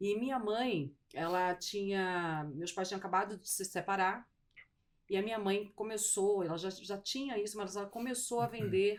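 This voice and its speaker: A woman of medium pitch with a Manaus accent, speaking at a moderate pace. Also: ordinary pitch variation. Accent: Manaus accent, mistaken for Rio. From Brazil, raised in Manaus (born Pernambuco). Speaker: insurance executive, logistics risk specialist. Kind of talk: interview.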